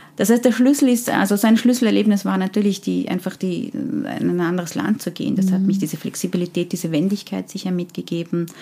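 This woman speaks very fast, and her pitch varies in an ordinary way. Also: medium pitch for a woman, hardly any pauses. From Austria (from Afghanistan at age ten). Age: 40s. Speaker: HR consultant and leadership coach. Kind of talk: interview. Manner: hesitant, many fillers.

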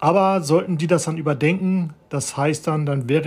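Somewhat breathy, a man speaks at a fairly slow pace with fairly even intonation. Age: 40s. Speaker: podcaster. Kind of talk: personal monologue. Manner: halting, many fillers.

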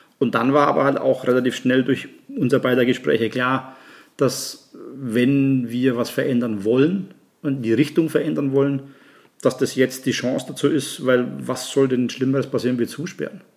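This man has an ordinary speaking voice with fairly even intonation. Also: medium pitch for a man, moderate pace. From Germany, Nuremberg (Franconia). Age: 50s. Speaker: chef and restaurant owner. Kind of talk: casual chat.

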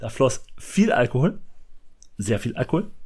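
This man's pace is moderate. The variation in his pitch is ordinary. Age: 30s. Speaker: podcast co-host, film fan. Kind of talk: casual chat.

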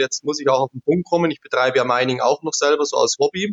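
This man's pitch is fairly high. He talks at a very fast pace. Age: 30s. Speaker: crypto investor and technician. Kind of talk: interview.

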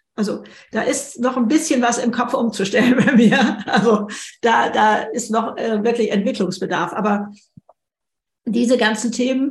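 Amid audible room echo, a woman with a fairly high pitch and ordinary pitch variation sounds somewhat breathy. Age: 70s. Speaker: author. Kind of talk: podcast interview conversation.

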